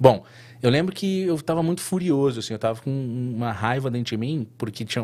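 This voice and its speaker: A man's normal speaking voice at a medium pitch, with ordinary pitch variation and a fairly quick pace. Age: 30s. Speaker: tattoo artist. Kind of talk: casual interview chat.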